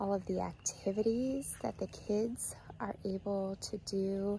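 This woman talks at a very slow pace, her dark, mellow tone somewhat breathy and her intonation fairly even. The sound is dry with no echo, and there is light background noise. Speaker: family camping vlogger. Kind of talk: casual vlog chat. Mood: cheerful, relaxed. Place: waterside. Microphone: phone near.

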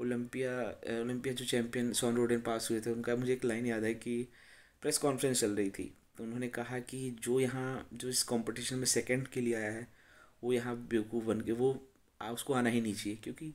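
A man with an Uttar Pradesh accent speaks at a moderate pace in a monotone, flat intonation. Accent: Uttar Pradesh Hindi. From India, Uttar Pradesh. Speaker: bodybuilder and former powerlifter; bodybuilder vlogger. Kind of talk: casual vlog talk to camera. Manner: hesitant, filler-heavy. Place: home room. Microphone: phone near.

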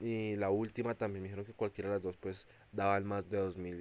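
A man is speaking. His pace is moderate. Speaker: mobile gaming YouTuber. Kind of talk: gameplay commentary. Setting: seated at table, recording phone gameplay. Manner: animated.

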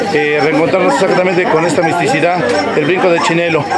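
Crowd noise fills the background. Over it, a man talks. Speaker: vlogger. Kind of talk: casual vlog chat. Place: market. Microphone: phone near.

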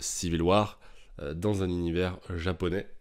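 A man's very deep, low voice, monotone with flat intonation, on a very clean recording with a silent background. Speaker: comics YouTuber. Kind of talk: casual solo video monologue. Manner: casual, chatty, hesitant with fillers.

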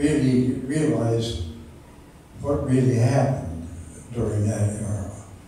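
Male speech with ordinary pitch variation, strong room echo and light background noise. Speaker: retired machinist. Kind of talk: interview answer. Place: hall. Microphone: camera far.

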